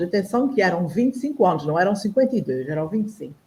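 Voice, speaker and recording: A woman at a medium pitch talks at a very fast pace in a dark, mellow, somewhat breathy tone, with very wide pitch swings. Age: 60s. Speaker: panel guest on online talk show. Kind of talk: personal testimony in panel discussion.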